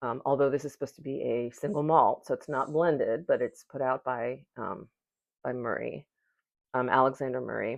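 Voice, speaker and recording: Vocal fry colors the voice, which moves at a moderate pace with long, frequent pauses and ordinary pitch variation against a quiet background. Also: woman. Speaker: whisky reviewer. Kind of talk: product review. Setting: at home at night.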